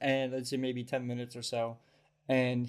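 Unforced reading voice

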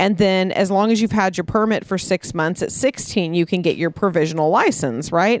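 A woman's plain, everyday voice at a medium pitch, moderate pace, ordinary pitch variation and very even loudness, against a quiet background. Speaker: podcast co-host. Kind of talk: casual chat. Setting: backyard, outdoors.

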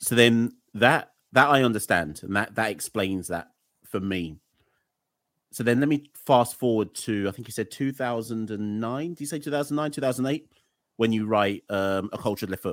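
The recording is very clean, with a silent background. A man speaks in a normal speaking voice at medium pitch and a moderate pace, with ordinary pitch variation. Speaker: podcast host. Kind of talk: casual interview.

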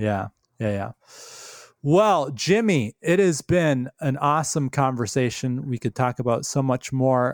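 This man has a normal speaking voice at medium pitch, talking at a fairly slow pace. The recording is very clean, with a silent background and a dry, close sound with no echo. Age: 40s. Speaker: podcast host. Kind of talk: casual interview.

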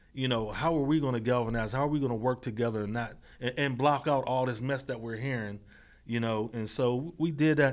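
A man talks at a fairly quick pace in a medium pitch with fairly even intonation, an ordinary speaking voice. The recording is very clean, with a silent background. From Pittsburgh area, US (Braddock, Mon Valley). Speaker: youth mentor and consultant. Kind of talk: interview.

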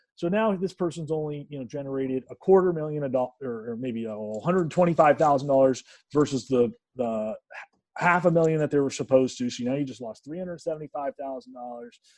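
A man with a plain, everyday voice speaks at a fairly high pitch and a fairly quick pace. His pitch varies in an ordinary way while his loudness swings widely. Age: 30s. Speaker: CEO of a talent assessment company. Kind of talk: interview.

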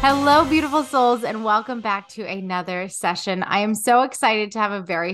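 Against background music, a woman speaks at a medium pitch and a fairly quick pace. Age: 30s. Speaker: podcast host and coach. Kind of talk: interview; scripted intro.

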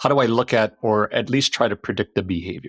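An unremarkable speaking voice, a man with a Canadian accent talks at a fairly quick pace and fairly low pitch, with ordinary pitch variation and a dry, close sound with no echo. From Canada. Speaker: cybersecurity expert. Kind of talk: podcast interview.

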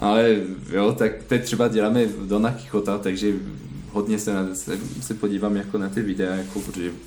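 A man with a French accent talks at a moderate pace and fairly even intonation. Audible room echo surrounds his voice. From France. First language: French (speaking Czech). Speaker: ballet dancer. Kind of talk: interview. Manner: halting.

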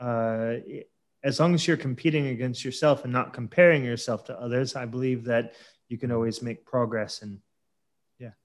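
A man with an unremarkable speaking voice talks at a moderate pace and medium pitch. His intonation stays fairly even while his volume swings a lot. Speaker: podcast host. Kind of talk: casual interview. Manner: casual, friendly.

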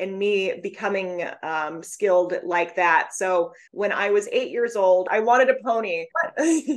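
A woman speaks at a fairly slow pace with ordinary pitch variation. She has an unremarkable speaking voice at a medium pitch. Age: 30s. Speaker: divorce financial analyst. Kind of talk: interview.

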